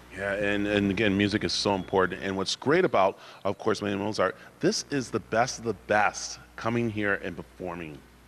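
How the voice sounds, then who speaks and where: A man with an American accent, fairly low-pitched, at a moderate pace with ordinary pitch variation, against a quiet background. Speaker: TV reporter. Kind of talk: live TV interview. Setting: on location at neuroscience institute.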